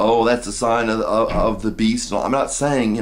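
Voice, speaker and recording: A man speaks with an American accent at a moderate pace. Room echo is audible. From United States. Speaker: video blogger on religion and politics. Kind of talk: casual monologue. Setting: at home in apartment. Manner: halting, many fillers and restarts.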